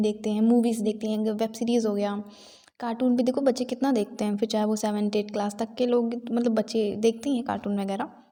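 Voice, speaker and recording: Soft-spoken, this woman has a fairly high pitch. She keeps a moderate pace. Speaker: exam aspirant vlogger. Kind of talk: casual vlog talk. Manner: soft-spoken, quiet.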